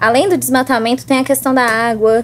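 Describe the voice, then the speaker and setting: A woman with a Minas Gerais accent speaks at a high pitch. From southern Minas Gerais, Brazil (Baependi). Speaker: student and podcast guest. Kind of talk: casual chat.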